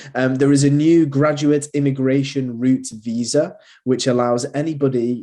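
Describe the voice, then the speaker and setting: A man with a strong Manchester accent talks at a fairly slow pace and medium pitch. His tone is dark and mellow, with fairly even intonation. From northern England, Manchester. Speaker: university recruitment manager. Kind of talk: presentation. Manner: hesitant, many fillers.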